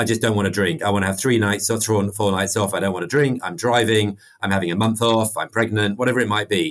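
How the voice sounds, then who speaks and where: A man with a British accent and a fairly low pitch talks at a very fast pace, with hardly any pauses. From Britain. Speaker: marketing executive. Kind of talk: interview.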